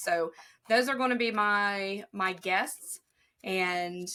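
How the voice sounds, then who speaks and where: A woman speaks with a slight Southern US accent and a bright, sharp tone. Her pitch is fairly high, and her intonation is lively. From Ohio, near Kentucky and West Virginia border. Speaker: respiratory therapist. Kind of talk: interview answer.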